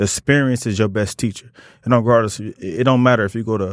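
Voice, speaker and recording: In a plain, everyday voice with an American accent, a man talks at medium pitch and a moderate pace, his intonation fairly even and the sound dry and close with no echo. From Detroit area. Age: 30s. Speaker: chef. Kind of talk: casual chat.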